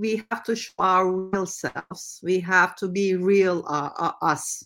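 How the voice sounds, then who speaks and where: Speaking very slowly in a Turkish accent, a woman keeps a medium pitch. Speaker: entrepreneur. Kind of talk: interview. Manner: halting.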